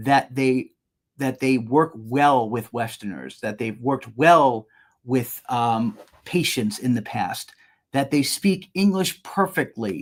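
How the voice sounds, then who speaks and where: A man with a New York accent speaks very slowly at a medium pitch, his intonation lively. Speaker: business owner presenting a webinar. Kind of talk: webinar presentation. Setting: online webinar. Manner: repeats and restarts words.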